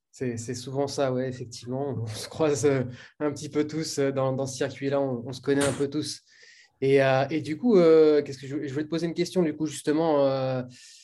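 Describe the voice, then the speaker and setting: A man speaks at a moderate pace in a dark, mellow tone. His pitch is fairly high and his intonation is monotone and flat. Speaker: podcast host and bboy. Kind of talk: casual interview.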